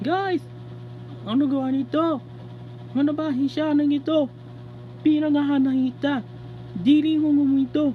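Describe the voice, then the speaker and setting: In a put-on character voice pitched high, the speaker goes at a fairly slow pace with long, frequent pauses, over clear background noise. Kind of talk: comic overacting. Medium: fan dub. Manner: loud, emphatic.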